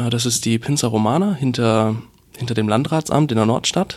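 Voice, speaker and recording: A man talks at a fairly quick pace. His pitch rises and falls in an ordinary way. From rural Bavaria. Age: 20s. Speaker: web portal founder and student. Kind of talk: reading event tips; casual interview. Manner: hesitant, repeats words.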